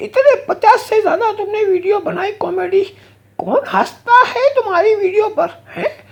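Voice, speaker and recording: A man does a put-on character voice. His pitch is extremely high. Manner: scolding, cheeky.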